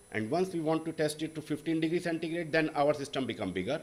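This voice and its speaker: Showing vocal fry, a man talks at a fairly quick pace in a fairly high pitch. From India. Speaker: professor, wastewater engineer. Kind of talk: panel talk presentation. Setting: stage with audience. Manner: halting.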